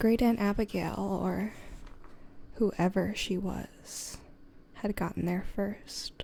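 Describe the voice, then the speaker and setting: The voice is soft-spoken and moves at a very slow pace. Long, frequent pauses break up the speech. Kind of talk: ASMR soft-spoken story reading.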